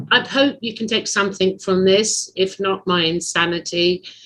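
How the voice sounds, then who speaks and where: A woman's bright, sharp voice at a medium pitch, with an English accent and a moderate pace. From England. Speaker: podcast host. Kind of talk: casual chat.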